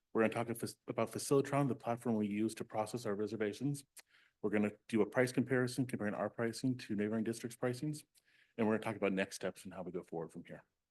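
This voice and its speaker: This man speaks at a very fast pace. His pitch is medium, with ordinary variation. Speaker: school district maintenance director. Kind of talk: board meeting presentation. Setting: public board meeting with microphone.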